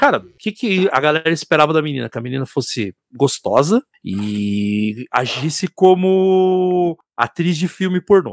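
A man's fairly high-pitched voice with very wide pitch swings, fairly slow delivery and hardly any pauses, in a dry, close sound with no echo. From Curitiba, Paraná, Brazil. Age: 40s. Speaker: musician and IT support analyst. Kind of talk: casual chat. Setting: live stream.

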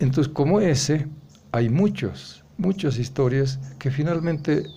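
In a room with audible echo, a man speaks fairly slowly and somewhat breathily, with ordinary pitch variation. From rural Bolivia, Vallegrande area. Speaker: writer and anthologist. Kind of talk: interview. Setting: café. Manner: halting, many hesitations and repetitions.

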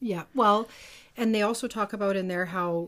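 A woman speaks in a plain, everyday voice with fairly even intonation. The recording is very clean and the background silent. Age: 40s. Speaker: podcast co-host. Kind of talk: casual chat.

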